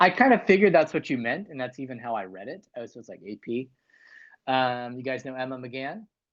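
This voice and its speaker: A man with an American accent speaks at a medium pitch in a normal speaking voice, his intonation lively and his loudness swinging widely. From US East Coast, Northern Virginia. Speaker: livestream host, music journalist. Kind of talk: casual livestream chat. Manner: casual, many fillers.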